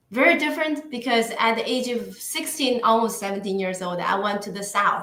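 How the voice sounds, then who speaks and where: In a room with audible echo, a woman with a fairly high pitch speaks fairly slowly with lively intonation. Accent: Chinese. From northeastern China. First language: Mandarin Chinese. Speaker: podcast guest. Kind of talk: interview conversation. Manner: halting.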